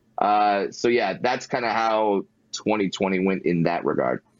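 This man's voice sits at a fairly low pitch and shows ordinary pitch variation. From Southern California (Fullerton). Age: 30s. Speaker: stand-up comedian. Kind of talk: interview.

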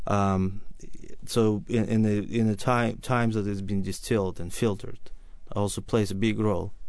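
A man's fairly low voice with a Russian accent, fairly even intonation, and audible room echo. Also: moderate pace. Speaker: wine and spirits importer. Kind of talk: radio interview.

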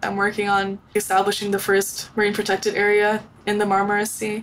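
Noticeable background noise accompanies a woman whose voice is fairly high. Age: 20s. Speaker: young inventor and entrepreneur. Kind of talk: interview.

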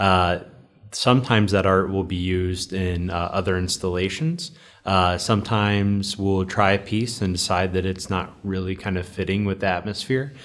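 At a moderate pace, a man talks in a very deep, low pitch with fairly even intonation. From Cincinnati, Ohio. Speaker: bar manager and bartender. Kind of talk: casual interview.

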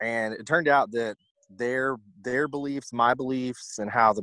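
Recorded very cleanly against a silent background, a man with a Southern US accent talks at a medium pitch in a bright, sharp tone with fairly even intonation and a dry, close sound with no echo. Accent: Southern US (Georgia). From US South, Georgia (Newnan, south of Atlanta). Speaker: basketball coach. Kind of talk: casual chat.

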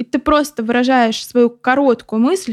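An unremarkable speaking voice at a fairly quick pace, with ordinary pitch variation and a dry, close sound with no echo. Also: woman. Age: 20s. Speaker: paramedic student. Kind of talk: casual chat.

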